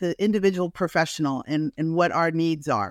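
On a very clean recording with a silent background, a woman with an American accent speaks with ordinary pitch variation in a dry, close sound with no echo. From US, Washington DC / Northern Virginia area. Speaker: dentist. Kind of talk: interview. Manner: animated.

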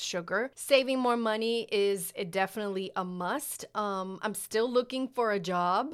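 In a very clean recording with a silent background, a woman with an American accent speaks fairly slowly in a plain, everyday voice with ordinary pitch variation. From New York. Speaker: podcast co-host. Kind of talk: casual chat.

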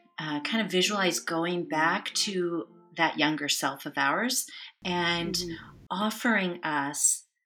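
With music in the background, the speaker talks at a very slow pace with ordinary pitch variation. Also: woman, fairly low pitch for a woman. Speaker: therapist, podcast guest. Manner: calm, gentle.

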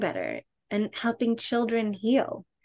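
Against a quiet background, a woman speaks in a normal speaking voice at a fairly slow pace with fairly even intonation. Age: 50s. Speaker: author and coach on five archetypes. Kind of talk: casual interview.

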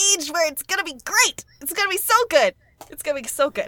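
A woman's raised, projected voice, bright and sharp in tone, with lively intonation and a dry, close sound free of echo. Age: 20s. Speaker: podcast guest, video game fan. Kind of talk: casual chat. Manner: animated.

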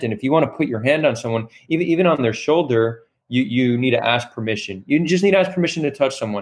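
A man talks very fast, his pitch fairly high and its variation ordinary. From Israel. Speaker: podcast host. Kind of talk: casual interview chat. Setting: live video stream.

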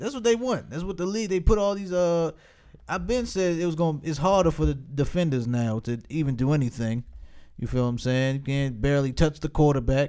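This man talks at a fairly quick pace with a fairly high pitch. His tone is dark and mellow, and his intonation is lively. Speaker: podcast host. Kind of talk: casual chat. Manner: animated.

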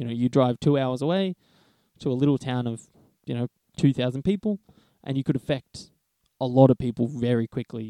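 Long, frequent pauses break up a man's speech in an Australian accent, his dark, mellow tone at medium pitch with ordinary variation, recorded dry and close with no echo. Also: fairly quick pace. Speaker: podcast co-host, Chinese medicine graduate. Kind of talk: casual chat.

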